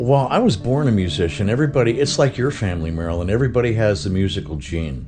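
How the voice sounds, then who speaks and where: With an American accent, a man talks at a very fast pace with hardly any pauses, his fairly low pitch making very wide swings over music in the background and audible room echo. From Texas (Dallas). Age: 70s. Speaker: musician. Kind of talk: casual chat.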